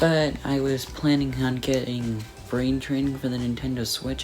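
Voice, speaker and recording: Music can be heard behind the voice. The delivery is fairly slow. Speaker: product reviewer. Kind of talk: casual product review talk. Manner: occasional stutter, repeats words.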